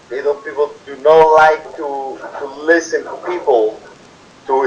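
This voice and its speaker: Very slowly, a man speaks in a Spanish accent. Noticeable background noise can be heard. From Peru. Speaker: immigrant worker interviewee. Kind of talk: interview. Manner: halting.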